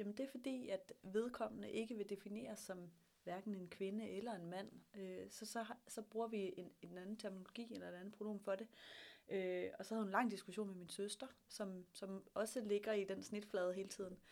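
Moderately paced speech from a woman, a plain, everyday voice of medium pitch. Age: 30s. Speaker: startup hub director. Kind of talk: interview.

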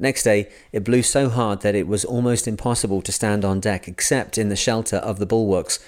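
A man with a plain, everyday voice talks at a fairly quick pace and fairly low pitch, with fairly even intonation and hardly any pauses. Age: 40s. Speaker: podcast host reading books aloud. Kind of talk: reading aloud.

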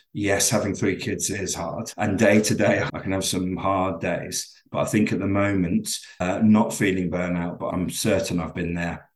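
A man with a very deep, low pitch and an English accent speaks at a moderate pace with fairly even intonation and hardly any pauses. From England, London. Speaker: business owner and working dad. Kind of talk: interview.

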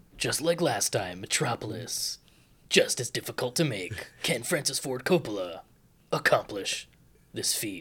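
A man puts on a character voice at medium pitch. It has very wide pitch swings and long, frequent pauses. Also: moderate pace. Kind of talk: dramatic trailer narration.

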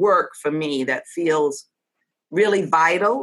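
Bright and sharp in tone, a woman speaks with an American accent. She moves at a fairly slow pace. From New York City, the Bronx. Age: 60s. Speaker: comedian and humor educator. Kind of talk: interview conversation with humor. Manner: animated, humorous.

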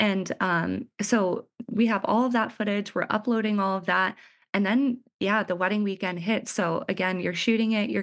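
A woman with an unremarkable speaking voice talks at a moderate pace, her medium pitch carried on fairly even intonation against a quiet background. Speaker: wedding filmmaker. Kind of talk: casual interview chat.

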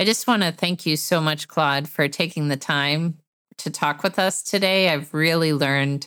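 This woman's pitch is very deep and low, and her pace is moderate. The recording is very clean, with a silent background. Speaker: podcast host. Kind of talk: interview conversation.

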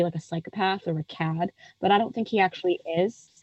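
Here is a woman with an unremarkable speaking voice. She talks at a fairly quick pace with fairly even intonation. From United States. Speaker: film critic. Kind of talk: casual interview chat about a film.

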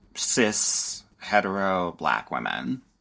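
A man with a Californian accent. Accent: Californian Valley Girl. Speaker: dating and relationship coach. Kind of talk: casual podcast interview.

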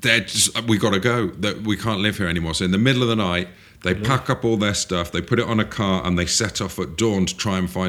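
This is a natural reading voice. The words are read aloud in it.

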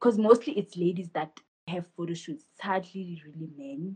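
A woman speaks at a fairly slow pace in a somewhat breathy, fairly low voice with ordinary pitch variation. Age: 20s. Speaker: photographer and business owner. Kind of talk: casual interview.

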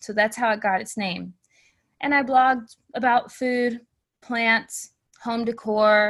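A woman's very slow, monotone, flat delivery against a quiet background. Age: 30s. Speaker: blogger and creativity coach. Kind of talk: interview.

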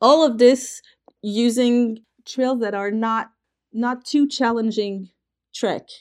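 With a French accent, a woman speaks at a very slow pace with long, frequent pauses, a fairly high pitch and fairly even intonation. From France. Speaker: trekking company representative. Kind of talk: interview. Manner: hesitant, frequent fillers.

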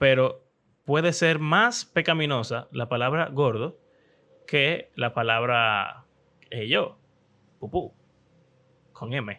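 A man with a Dominican accent speaks very slowly in a bright, sharp tone, leaving long, frequent pauses. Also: medium pitch for a man, ordinary pitch variation, very clean recording, silent background. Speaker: podcast host. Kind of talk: casual chat.

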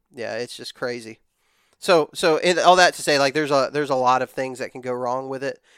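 In a very clean, dry and close recording with no echo and a silent background, a man of medium pitch talks fairly quickly with fairly even intonation and big swings in loudness. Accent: Texan. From West Texas. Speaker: hunting content creator. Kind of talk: casual chat.

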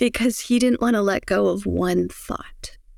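A woman speaks in a calm, soothing tone at a fairly slow pace. The sound is dry and close, with no echo. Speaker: breathwork teacher and author. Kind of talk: guided breathing meditation. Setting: video call. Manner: calm, slow, soothing, with gentle cues.

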